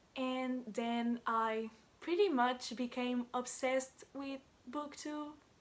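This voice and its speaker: A woman with a Portuguese accent speaks very slowly in a high voice with ordinary pitch variation. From Portugal. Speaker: book vlogger. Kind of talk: casual vlog introduction. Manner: hesitant, many filler words.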